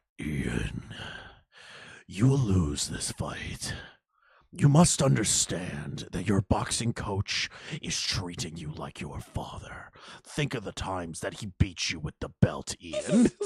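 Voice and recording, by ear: A man puts on a character voice with a very deep, low pitch. He sounds menacing and speaks at a fairly slow pace.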